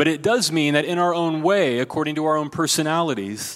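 This man has an American accent and a fairly high pitch. He talks at a fairly quick pace. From US Midwest, rural Ohio. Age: 40s. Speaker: pastor. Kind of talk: sermon. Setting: church.

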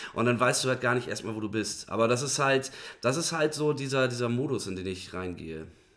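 Man with an ordinary speaking voice, medium pitch, ordinary pitch variation and a fairly quick pace. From northern Germany, Bremen. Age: 30s. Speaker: musician. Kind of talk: casual chat.

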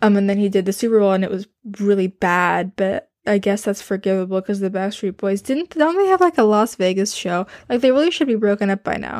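Recorded very cleanly against a silent background, a woman speaks at a medium pitch with ordinary pitch variation, the sound dry and close with no echo. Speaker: solo podcaster. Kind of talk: casual monologue. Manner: halting, many fillers and restarts.

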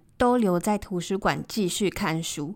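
Here is a woman with an ordinary speaking voice at medium pitch, speaking at a fairly slow pace with ordinary pitch variation on a very clean recording with a silent background. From Taiwan. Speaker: podcast host. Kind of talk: casual monologue.

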